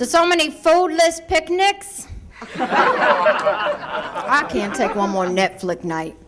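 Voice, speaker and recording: Speaking very slowly in an American accent, a woman uses a high pitch with very wide swings. Background noise is noticeable. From Ohio, US. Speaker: stand-up comedian. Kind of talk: stand-up. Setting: stage with audience.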